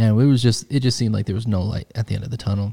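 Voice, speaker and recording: At a very fast pace, a man speaks in a fairly low, somewhat breathy voice with a dark, mellow tone, on a very clean recording with a silent background. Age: 30s. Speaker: podcast host and wedding filmmaker. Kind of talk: casual chat.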